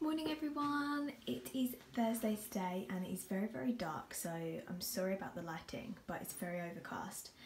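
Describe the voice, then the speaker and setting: An animated woman's voice in a British accent, medium in pitch with very wide pitch swings and a moderate pace, over noticeable background noise. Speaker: vlogger. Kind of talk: casual vlog. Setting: outdoors on the street while filming. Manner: chatty, animated.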